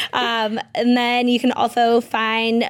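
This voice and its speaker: High in pitch, a woman speaks with an American accent. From Massachusetts, Peabody. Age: 30s. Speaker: entrepreneur and former football player. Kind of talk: casual interview. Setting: radio studio.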